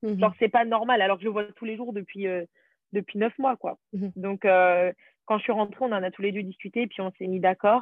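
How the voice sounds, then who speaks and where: A woman talks at a fairly quick pace with a medium pitch and fairly even intonation. Hers is a normal speaking voice. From France, Paris region. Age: 20s. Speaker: former au pair, nanny. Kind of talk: interview.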